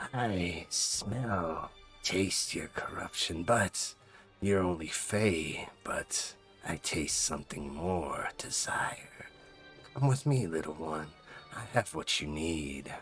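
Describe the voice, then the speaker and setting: A man whispering in a put-on character voice at a very slow pace, with clear music in the background. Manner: sinister whisper.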